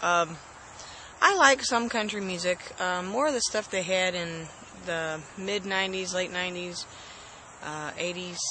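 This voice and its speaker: A soft-spoken woman talks at a moderate pace in a fairly low voice with ordinary pitch variation. Noticeable background noise can be heard. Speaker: host's wife. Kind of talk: casual chat.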